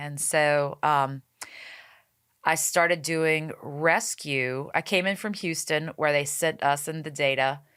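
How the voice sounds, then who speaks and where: On a very clean recording with a silent background, a woman with an American accent speaks very slowly in a very deep, low voice with fairly even intonation. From Cajun Louisiana (Cut Off, bayou). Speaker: animal rescue founder. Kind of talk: podcast interview.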